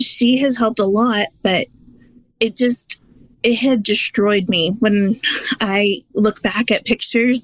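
Here is a woman with an ordinary speaking voice and a fairly high pitch that varies in an ordinary way. The sound is dry and close with no echo. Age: 30s. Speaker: weight-loss app member. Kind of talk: interview.

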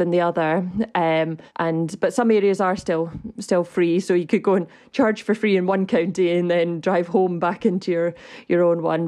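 Over a quiet background, a woman with a Scottish accent speaks at a moderate pace. Her voice is fairly low, with a dark, mellow tone. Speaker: electric vehicle advocacy group director. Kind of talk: casual chat. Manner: hesitant, many fillers.

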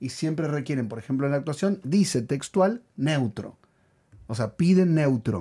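A somewhat breathy man speaks at a fairly slow pace, his intonation lively and his tone dark and mellow. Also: fairly high pitch for a man. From Argentina. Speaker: podcast co-host and actor. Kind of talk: casual chat.

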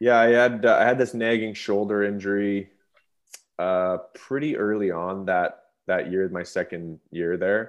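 Against a quiet background, a man with a western Canadian accent speaks at a fairly low pitch and fairly slow pace, his intonation fairly even. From Canada, Revelstoke, British Columbia. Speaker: retired professional hockey player. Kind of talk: interview.

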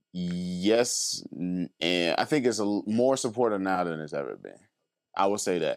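In a normal speaking voice, a man talks at a fairly slow pace with a fairly low pitch and ordinary pitch variation, on a very clean recording with a silent background. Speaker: rapper and musician. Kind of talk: casual chat.

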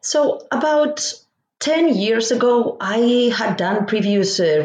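A woman talks in a Spanish accent. Her intonation is lively. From Spain. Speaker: professor. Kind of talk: interview. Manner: halting.

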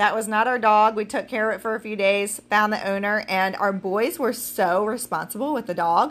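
A woman's normal speaking voice, fairly high in pitch with ordinary pitch variation, at a moderate pace with hardly any pauses. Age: 40s. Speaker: podcast host and business owner. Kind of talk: solo podcast talk. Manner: casual, with fillers.

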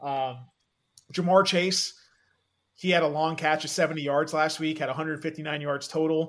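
A man talks at a fairly quick pace in a fairly high pitch, using an ordinary speaking voice. The recording is very clean, with a silent background. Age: 30s. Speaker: fantasy football analyst. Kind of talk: casual chat.

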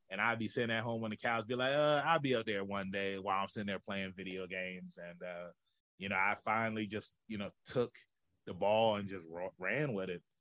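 With an American accent, a man talks at a fairly quick pace in a fairly low voice, bright and sharp in tone, with ordinary pitch variation. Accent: Southern, sounds country to outsiders. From Norfolk, Virginia. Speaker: professional wrestler and podcast host. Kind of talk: casual interview chat.

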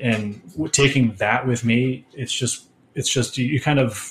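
A man with an American accent speaks at a medium pitch, his somewhat breathy voice keeping a fairly even intonation. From Connecticut, US. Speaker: lighting designer. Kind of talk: interview.

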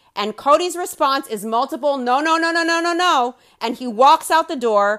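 Bright and sharp in tone, a woman speaks at a high pitch with lively intonation on a very clean recording with a silent background. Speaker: commentary podcaster. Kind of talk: angry rant of a commentary. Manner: loud, fired up, gleefully profane; sarcastic and scornful.

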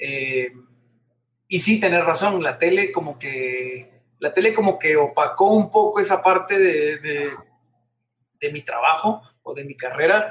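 In a Guatemalan accent, the voice moves at a fairly slow pace with long, frequent pauses, big swings in loudness and ordinary pitch variation. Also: man, high pitch for a man. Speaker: TV presenter and singer. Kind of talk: casual interview. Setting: video call.

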